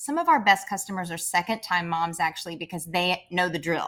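A woman speaks in a bright, sharp tone with an American accent. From Kentucky, US South. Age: 40s. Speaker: clothing brand founder. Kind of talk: interview.

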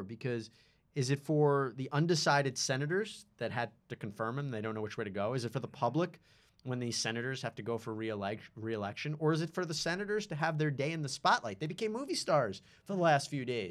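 A man in a plain, everyday voice, fairly high in pitch, with lively intonation at a fairly quick pace, on a very clean recording with a silent background. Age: young. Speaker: legal podcast co-host. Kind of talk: casual chat.

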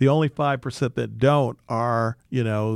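Speaking with an American accent, a man uses a medium pitch, a moderate pace and fairly even intonation. The recording is very clean and dry, close with no echo and a silent background. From Detroit, Michigan (west side). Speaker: real estate investment CEO. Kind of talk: interview. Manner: halting, many fillers and restarts.

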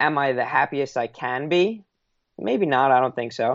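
A man with an American accent talks at a fairly slow pace, his pitch varying in an ordinary way. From New York, Long Island. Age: 20s. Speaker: author and entrepreneur. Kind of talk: podcast interview.

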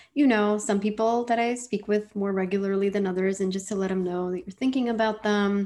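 A woman talks at a fairly quick pace with hardly any pauses, in an American accent. She has a plain, everyday voice at medium pitch, with fairly even intonation. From New York City (Washington Heights), family from India. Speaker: pharmacy professor and public health advisor. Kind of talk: interview.

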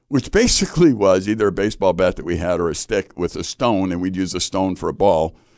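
With an American accent and a normal speaking voice, a man uses lively intonation at a moderate pace. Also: quiet background. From US Midwest, Chicago. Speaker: Bible institute teacher and ranch ministry leader. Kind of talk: casual chat about scripture. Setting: studio.

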